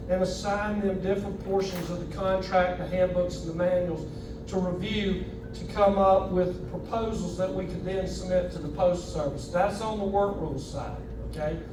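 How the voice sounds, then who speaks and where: Speaking at a moderate pace, a man has a high pitch and monotone, flat intonation. Noticeable background noise and audible room echo are present. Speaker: union officer. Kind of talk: speech to union members.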